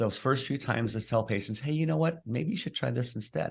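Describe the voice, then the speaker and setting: A man talks at a fairly quick pace in an ordinary speaking voice. His intonation is lively, and the background is quiet. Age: 60s. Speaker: chiropractor and clinical nutritionist. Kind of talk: podcast interview.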